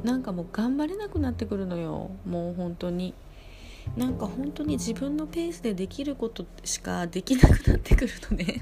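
Big swings in loudness from a woman at a moderate speed. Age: 40s. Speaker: snack bar owner and fortune teller. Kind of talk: casual monologue. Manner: animated.

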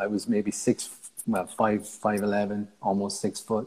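Speaking with a Cork accent, a man uses a fairly low pitch over noticeable background noise. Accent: Cork Irish. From Ireland, Cork. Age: 30s. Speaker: martial artist. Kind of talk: casual chat.

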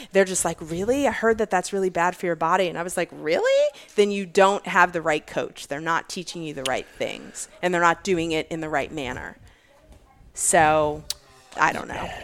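A plain, everyday voice from a woman, fairly low-pitched, moderately paced, with ordinary pitch variation. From Virginia. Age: 40s. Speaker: fitness athlete and bodybuilder. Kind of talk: casual interview chat.

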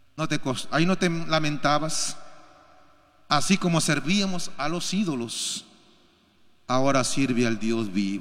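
Fairly high-pitched for a man, he talks fairly slowly with long, frequent pauses, and audible room echo surrounds him. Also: lively intonation. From Peru. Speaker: pastor. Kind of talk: sermon. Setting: church.

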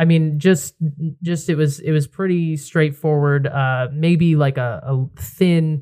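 Somewhat breathy speech in an American accent, at a fairly slow pace with ordinary pitch variation. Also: man. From Connecticut, near New Haven. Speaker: podcast host. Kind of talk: casual chat. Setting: outdoor patio.

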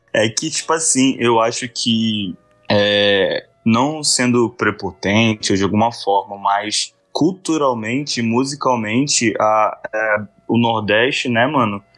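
Very slow male speech with ordinary pitch variation and very even loudness, music in the background. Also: medium pitch for a man. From Brazil, Manaus (Amazonas), born in Salvador. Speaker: rapper and beatmaker. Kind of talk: interview. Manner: casual slang-heavy, halting repetitions.

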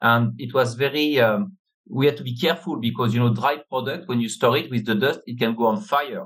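In a French accent, a man speaks at a moderate pace with ordinary pitch variation. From France. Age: 50s. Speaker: business network chairman. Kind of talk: interview. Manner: halting.

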